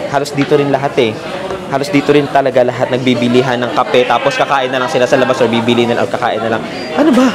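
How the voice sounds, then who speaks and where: Music plays in the background and the room echo is audible. A man with a medium pitch talks at a very fast pace. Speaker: travel vlogger. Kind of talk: casual travel vlog.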